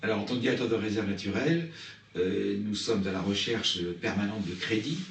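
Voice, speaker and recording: Over noticeable background noise and audible room echo, a man with a fairly low pitch speaks at a moderate pace with ordinary pitch variation. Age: 60s. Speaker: nature reserve director. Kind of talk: interview. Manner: halting.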